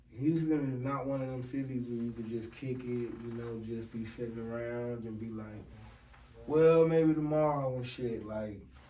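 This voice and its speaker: There is audible room echo and noticeable background noise. A man speaks at a moderate pace with fairly even intonation. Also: medium pitch for a man. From Washington DC. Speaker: podcast host. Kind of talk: casual chat.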